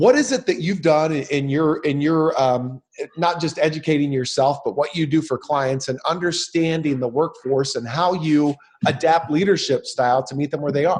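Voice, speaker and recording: A man speaks at a moderate pace in a fairly high, somewhat breathy voice with ordinary pitch variation. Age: 30s. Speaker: podcast host. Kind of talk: interview. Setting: home office. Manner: halting, many fillers.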